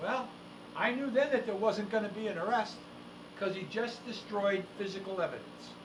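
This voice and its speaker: Speaking with an American accent at a moderate pace, a man with a high pitch and ordinary pitch variation is heard amid noticeable background noise and audible room echo. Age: 70s. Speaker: legal investigator and show co-host. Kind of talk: casual talk-show discussion. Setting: studio. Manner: animated.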